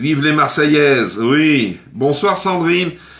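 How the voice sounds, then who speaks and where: His pitch sits fairly high and varies in an ordinary way. The man talks at a very slow pace. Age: 60s. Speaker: cooking livestreamer. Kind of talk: live cooking stream chat. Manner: chatty, informal.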